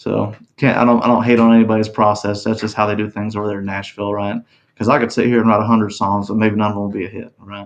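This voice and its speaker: A man speaks in a monotone with flat intonation and a Texas accent. His pitch is fairly low. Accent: Texas drawl. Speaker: country singer. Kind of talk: casual interview chat. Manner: mumbling.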